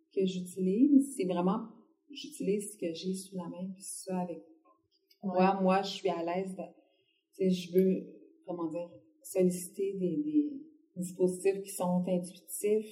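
A woman at medium pitch with a dark, mellow, somewhat breathy tone, a very slow pace, long, frequent pauses, big swings in loudness and audible room echo. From Quebec City, Quebec. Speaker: visual artist. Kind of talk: interview conversation.

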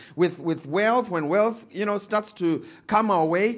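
In a Zimbabwean accent, a man speaks at a moderate pace in an animated tone. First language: Shona. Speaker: pastor. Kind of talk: sermon. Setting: church.

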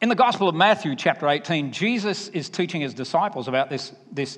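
Moving at a fairly quick pace, a man speaks with a Southern US accent. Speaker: preacher. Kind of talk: sermon.

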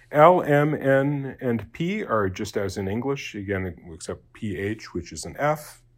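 This man's loudness swings widely and his pitch moves through very wide swings. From Japan. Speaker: deacon and Latin teacher. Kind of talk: lecture. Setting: recorded online class. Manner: halting, many fillers.

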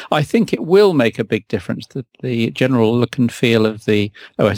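A man with a British accent is heard in a very clean recording against a silent background. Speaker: podcast host. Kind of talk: casual chat.

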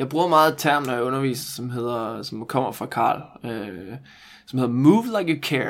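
A man speaks at a moderate pace with a medium pitch and ordinary pitch variation. He has an unremarkable speaking voice. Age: 20s. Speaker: movement coach. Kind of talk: casual chat.

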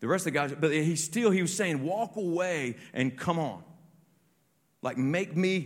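A man with a fairly high pitch talks in an animated tone with lively intonation. His pace is fairly slow, on a very clean recording with a silent background. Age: 40s. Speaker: pastor. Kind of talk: sermon.

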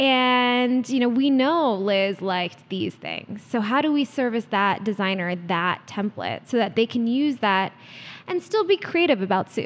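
This woman has a plain, everyday voice, fairly high in pitch, speaking at a fairly slow pace with lively intonation. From US East Coast, DC area. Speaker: startup CEO. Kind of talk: interview.

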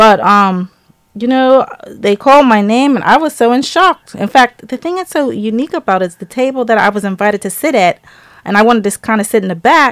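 A woman's unremarkable speaking voice, fairly high-pitched, with lively intonation, a fairly quick pace and a dry, close sound with no echo. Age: 50s. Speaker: small business owner. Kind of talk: interview. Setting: studio.

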